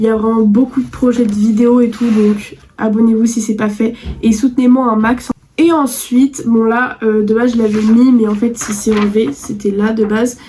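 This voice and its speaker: Amid noticeable background noise, a woman with a fairly high pitch speaks at a moderate pace. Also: fairly even intonation. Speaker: youtuber. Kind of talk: vlog monologue.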